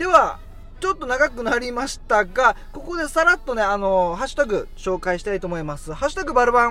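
Raising and projecting his voice, a man speaks at an extremely high pitch with very wide pitch swings. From Okinawa, Japan. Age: 30s. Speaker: radio podcast host. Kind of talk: casual chat.

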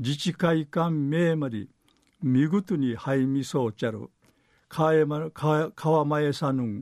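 The recording is dry and close with no echo. A man with a fairly high pitch speaks at a very slow pace. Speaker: dialect news reader. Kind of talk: news reading.

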